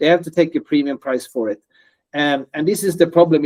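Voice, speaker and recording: With a non-native accent, a man speaks at a fairly quick pace in a fairly high pitch and a dark, mellow tone, the sound dry and close with no echo. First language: non-native English speaker. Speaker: startup founder. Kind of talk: interview. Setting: video call. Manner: hesitant with fillers and repetitions.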